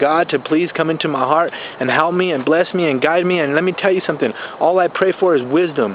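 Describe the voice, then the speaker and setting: Against noticeable background noise, a man with a fairly high pitch speaks at a fairly quick pace in an animated tone with ordinary pitch variation. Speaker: life coach and network marketer. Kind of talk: motivational vlog talk, unscripted. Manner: fast.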